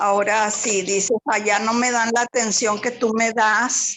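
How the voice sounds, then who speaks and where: A woman's fairly high, monotone, flat voice at a fairly slow pace, with noticeable background noise. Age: 60s. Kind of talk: personal testimony in online workshop.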